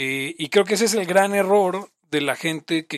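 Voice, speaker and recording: A man speaks in a high voice, recorded dry and close with no echo. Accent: Mexican. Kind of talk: casual chat.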